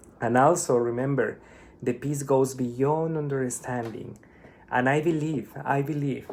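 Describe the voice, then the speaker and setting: A man with a Spanish accent at a fairly high pitch, with a fairly slow pace and fairly even intonation. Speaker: spiritual vlogger. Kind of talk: casual monologue. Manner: halting.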